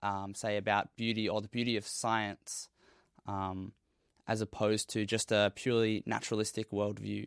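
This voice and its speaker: Dry and close with no echo, a man with an Australian accent speaks at a moderate pace in a fairly low pitch. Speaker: university science student. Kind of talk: casual discussion.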